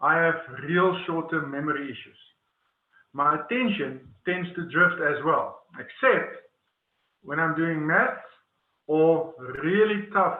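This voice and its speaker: A man with an Afrikaans accent and high pitch, ordinary pitch variation, a fairly slow pace, long, frequent pauses and audible room echo. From South Africa, Northern Cape. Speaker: webinar presenter. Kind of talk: webinar presentation. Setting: online webinar. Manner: hesitant, many fillers and repetitions.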